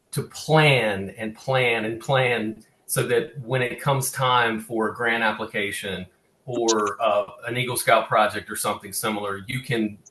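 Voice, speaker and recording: With a Southern US accent, a man talks at a fairly slow pace in a medium pitch, his intonation fairly even. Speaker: cultural resource consultant presenting on cemetery preservation. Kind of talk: webinar presentation. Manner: halting, many fillers and restarts.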